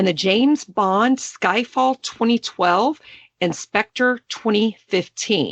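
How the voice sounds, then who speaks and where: Her pitch sits fairly high and her intonation is lively. The woman keeps to a fairly slow pace. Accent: Texas. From Texas. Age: 40s. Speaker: podcast host. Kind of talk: casual chat.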